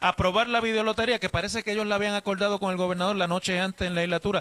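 The voice is raised and projected, with a bright, sharp tone. Its sound is dry and close, with no echo. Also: man. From Puerto Rico. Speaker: radio host. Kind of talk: radio interview. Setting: hotel lobby remote broadcast.

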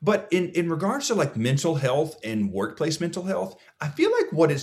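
With an American accent, a man talks at a fairly quick pace in an energetic, animated tone, showing vocal fry and lively intonation. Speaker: speaker and mental health advocate. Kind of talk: casual interview.

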